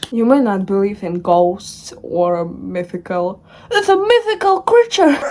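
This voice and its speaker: A woman speaks with a non-native accent at a fairly slow pace. Noticeable background noise runs underneath. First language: not English. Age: young. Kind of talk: casual storytelling to camera.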